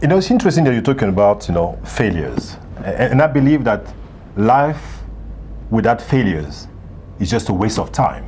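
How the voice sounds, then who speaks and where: A man talks at a moderate pace with long, frequent pauses. Noticeable background noise runs underneath. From Gabon, Central Africa. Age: 60s. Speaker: author and leadership coach. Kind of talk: interview.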